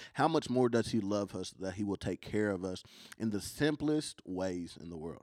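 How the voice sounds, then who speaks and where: In a very clean recording with a silent background, a man with a Kentucky accent speaks at a moderate pace with a fairly low pitch and lively intonation. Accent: country Kentucky. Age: 20s. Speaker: traveling youth minister and worship leader. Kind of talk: casual chat. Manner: halting, many ums.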